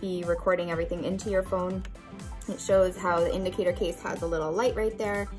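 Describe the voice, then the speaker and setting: Behind the woman's speech, music can be heard clearly. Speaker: product reviewer. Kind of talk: unboxing product review. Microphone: phone near.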